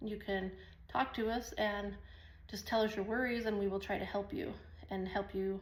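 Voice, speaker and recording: A woman speaks in a medium pitch, somewhat breathy, with long, frequent pauses and audible room echo. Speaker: online business vlogger. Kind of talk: casual talk to camera. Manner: fast; rambling, animated.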